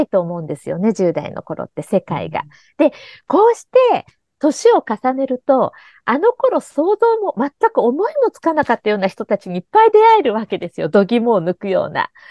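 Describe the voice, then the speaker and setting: A woman talks at a moderate pace in a high voice, her pitch swinging very widely and her loudness rising and falling sharply. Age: 50s. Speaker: podcast host and life coach. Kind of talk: casual chat. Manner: animated.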